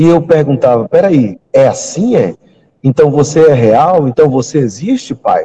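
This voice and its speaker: A man speaks with a fairly high pitch and a dark, mellow tone. His voice is somewhat breathy. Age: 40s. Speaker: pastor. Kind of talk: testimony; sermon.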